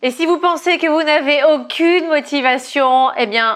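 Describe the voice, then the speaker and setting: The woman's pitch shows ordinary variation. She talks at a fairly slow pace. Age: 30s. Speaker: fitness coach. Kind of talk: casual vlog monologue. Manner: hesitant fillers.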